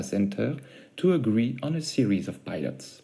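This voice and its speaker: Dark, mellow male voice with vocal fry, lively intonation and a non-native accent. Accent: noticeable foreign. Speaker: startup founder. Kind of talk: pitch presentation. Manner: formal.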